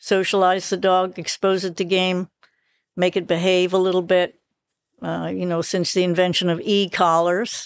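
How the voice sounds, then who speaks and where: The speaker is a woman with a medium-pitched voice. Her intonation is monotone and flat. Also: moderate pace. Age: 70s. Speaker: dachshund breeder and falconer. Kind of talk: casual interview chat. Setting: outdoors at dachshund field trials.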